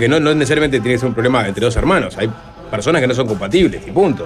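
There is noticeable noise in the background. Through it, a man talks. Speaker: radio host. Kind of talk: casual chat. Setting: studio.

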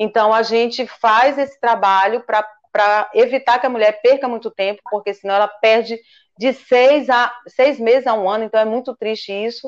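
With fairly even intonation, a woman talks at a moderate speed. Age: 50s. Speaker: physician. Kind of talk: interview.

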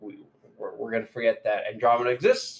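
A man talks at a very fast pace. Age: 20s. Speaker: podcast co-host. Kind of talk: casual chat.

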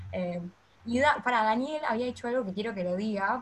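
A woman speaks with a Rioplatense accent. Her voice is somewhat breathy and her pace fairly quick. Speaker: podcast host. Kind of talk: podcast interview.

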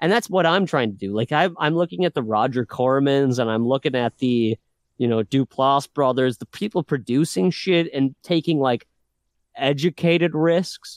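Against a quiet background with a dry, close sound and no echo, a man uses a normal speaking voice, fairly high in pitch, with lively intonation at a moderate pace. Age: 30s. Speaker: independent filmmaker. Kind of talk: casual chat.

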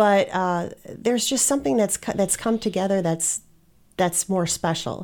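In a plain, everyday voice with an American accent, a woman speaks at medium pitch and a moderate pace with ordinary pitch variation. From Wisconsin. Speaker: business owner, branding and marketing. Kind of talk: casual interview.

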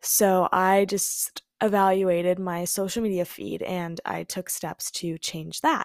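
Very slowly, a woman speaks at medium pitch in an American accent with fairly even intonation. The sound is dry and close, with no echo. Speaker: podcaster, college student. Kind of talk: casual solo chat. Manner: casual, frequent 'like'.

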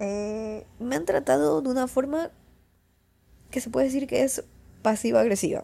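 The voice has a dark, mellow tone with vocal fry and moves at a fairly slow pace. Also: woman.

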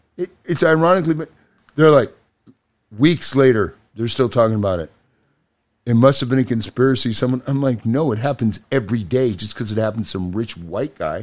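Here a man of medium pitch talks at a fairly quick pace. His tone is animated and his intonation lively. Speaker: podcast guest, show collaborator. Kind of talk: casual chat.

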